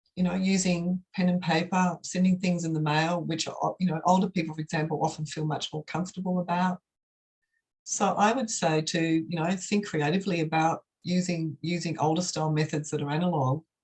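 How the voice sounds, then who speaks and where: A woman with an Australian accent speaks at a fairly quick pace, her fairly low voice somewhat breathy. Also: fairly even intonation. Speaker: professor. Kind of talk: academic Q&A answer.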